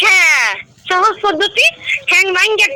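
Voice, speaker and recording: Over noticeable background noise, a woman speaks in a raised, projected voice with lively intonation. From Barishal, Bangladesh. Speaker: prank call target. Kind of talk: heated phone argument.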